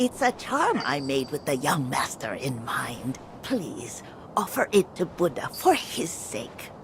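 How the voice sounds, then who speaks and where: A put-on character voice at a low-to-middle pitch and fairly slow pace, over clear background noise. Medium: video game.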